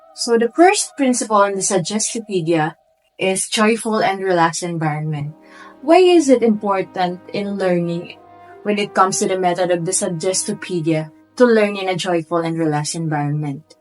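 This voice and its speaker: A woman at a medium pitch and moderate pace, with ordinary pitch variation and music in the background. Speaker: education student presenting a class report. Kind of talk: class report presentation.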